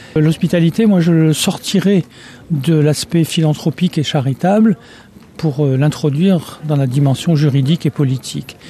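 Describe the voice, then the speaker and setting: A man's fairly high voice comes through noticeable background noise, fairly slow in pace and ordinary in its pitch variation. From France. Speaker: anthropologist. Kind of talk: interview.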